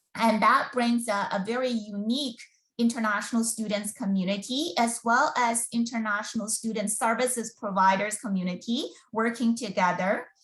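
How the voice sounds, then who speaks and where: A woman with a Mandarin accent, fairly high in pitch, at a moderate pace with fairly even intonation. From China. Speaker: school board recruitment officer. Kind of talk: webinar presentation. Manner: halting, many fillers.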